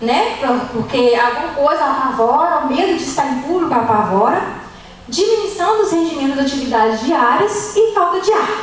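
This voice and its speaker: With audible room echo and noticeable background noise, a woman speaks at a moderate pace in a high pitch with very wide pitch swings. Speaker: nutritionist giving a church talk. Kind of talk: lecture.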